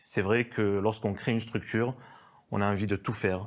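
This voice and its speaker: The background stays quiet while a man talks at a moderate pace. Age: 30s. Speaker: business owner. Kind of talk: interview. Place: studio. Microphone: lapel.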